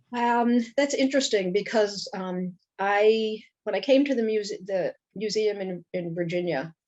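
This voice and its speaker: Speaking with a Brooklyn accent, a woman uses a medium pitch, ordinary pitch variation and a fairly slow pace. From Brooklyn, New York. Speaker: Holocaust educator. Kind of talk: interview.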